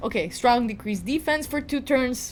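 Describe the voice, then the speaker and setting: A woman talks at a fairly quick pace, with a high pitch, lively intonation and an animated tone. She speaks with a slight Balkan accent. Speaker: gaming youtuber. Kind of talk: gameplay commentary.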